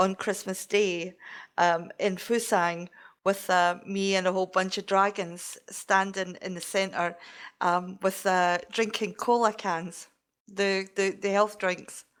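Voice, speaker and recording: A woman with a Scottish accent speaks very slowly at a medium pitch in monotone, flat intonation. The recording is very clean, with a silent background. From Scotland. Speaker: game community member. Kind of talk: casual chat.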